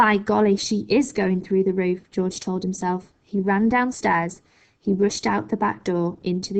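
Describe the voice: Plain out-loud reading, intonation fairly even throughout.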